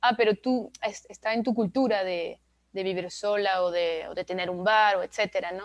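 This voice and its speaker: Against a quiet background, a woman with a French accent speaks at a moderate pace. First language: French (speaking Spanish). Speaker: author. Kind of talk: book presentation interview. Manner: halting, many fillers.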